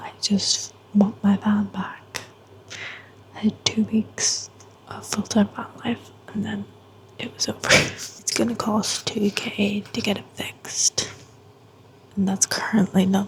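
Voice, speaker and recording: A woman whispers in a Northern Irish accent at a fairly slow pace, leaving long, frequent pauses. Her loudness swings widely, and background noise is noticeable. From Northern Ireland, County Antrim. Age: 20s. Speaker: vlogger. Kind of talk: casual chat.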